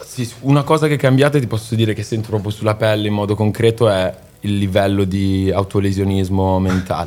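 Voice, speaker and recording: Fairly quick in pace, an ordinary speaking voice shows ordinary pitch variation. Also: man, fairly low pitch for a man. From Milan, northern Italy. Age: 20s. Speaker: singer-songwriter. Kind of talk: casual interview chat.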